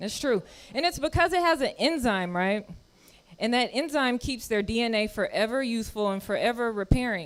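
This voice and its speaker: An animated woman's voice on a very clean recording with a silent background, fairly high in pitch, lively in intonation, at a moderate pace. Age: 30s. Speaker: comedian. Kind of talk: stand-up. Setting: stage with audience.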